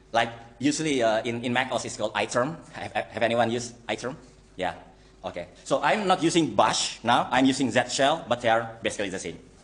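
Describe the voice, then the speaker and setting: With an Indonesian accent, the speaker moves at a fairly quick pace with ordinary pitch variation. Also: man, medium pitch for a man. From Indonesia (Java). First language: Javanese or Indonesian. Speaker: software engineer, guest lecturer. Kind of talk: lecture. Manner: halting, many fillers.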